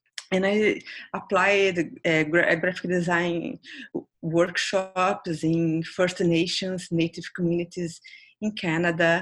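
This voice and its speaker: At a very slow pace, a woman speaks with a Brazilian accent. Her intonation stays fairly even. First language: Portuguese. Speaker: designer. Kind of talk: interview.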